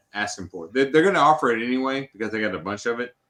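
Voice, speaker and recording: Lively intonation in a Tennessee accent, with a bright, sharp tone. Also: man. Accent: Southern US (Tennessee). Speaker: whiskey enthusiast on a stream panel. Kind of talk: casual chat. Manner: repeats words, stammering starts.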